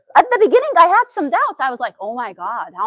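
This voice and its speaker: A fairly quick, animated delivery with very wide pitch swings and a dry, close sound with no echo. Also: woman. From Syria. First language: Arabic. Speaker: therapist. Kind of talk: talk to an audience.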